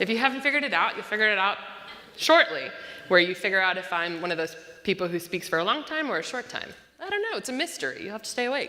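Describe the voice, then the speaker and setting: Over noticeable background noise, a woman speaks at a very fast pace in a medium pitch with very wide pitch swings. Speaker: pastor. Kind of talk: sermon.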